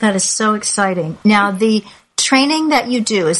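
A woman with a fairly high pitch and ordinary pitch variation talks at a moderate pace in an unremarkable speaking voice. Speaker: podcast host. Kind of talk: interview. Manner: warm, chatty.

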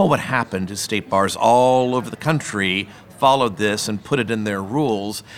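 At a moderate pace and medium pitch, a man talks in an ordinary speaking voice with ordinary pitch variation. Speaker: moderator, discovery lawyer.

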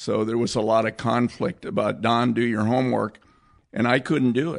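The voice has vocal fry and an American accent. It moves at a moderate pace with ordinary pitch variation. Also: man. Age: 70s. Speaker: cinematographer. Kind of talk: casual chat.

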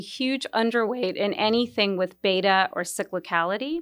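An unremarkable speaking voice from a woman, lively in intonation, at a moderate pace, on a very clean recording with a silent background. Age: 50s. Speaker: equity strategist. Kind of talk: interview.

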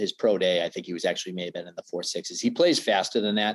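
A fairly low-pitched man with an American accent, an unremarkable speaking voice and lively intonation. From Boston area, Massachusetts. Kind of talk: casual interview.

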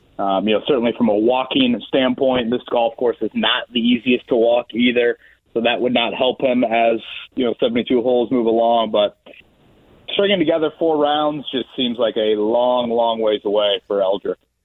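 In a plain, everyday voice, a man speaks at a moderate pace and medium pitch, with ordinary pitch variation and very even loudness. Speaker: sports radio personality. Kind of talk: casual chat.

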